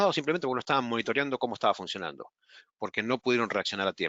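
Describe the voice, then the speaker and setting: With an Argentine accent, a man talks at a very fast pace in a medium pitch. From Argentina. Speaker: webinar presenter. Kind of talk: webinar presentation. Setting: online webinar.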